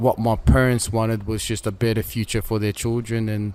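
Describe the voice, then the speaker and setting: A man with an Australian accent speaks at a moderate pace and medium pitch. His intonation is monotone and flat. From Melbourne, Australia. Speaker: former prisoner and boxer. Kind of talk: interview. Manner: halting.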